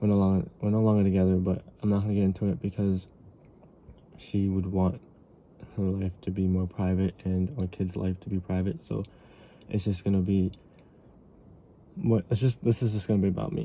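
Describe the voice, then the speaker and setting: His pitch very deep and low, a man talks at a fairly quick pace broken by long, frequent pauses. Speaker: vlogger. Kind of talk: casual monologue. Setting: late at night. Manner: halting.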